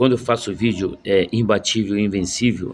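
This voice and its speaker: A man with a fairly low pitch at a fairly slow pace. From Rio de Janeiro, Brazil. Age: 60s. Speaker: former footballer and football coach. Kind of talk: casual video monologue. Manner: halting, many fillers.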